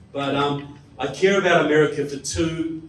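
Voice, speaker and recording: Speaking with a New Zealand accent, a man talks at a fairly slow pace. Noticeable background noise and audible room echo surround his voice. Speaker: political speaker and author. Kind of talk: public talk to an audience. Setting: stage with live audience. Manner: animated.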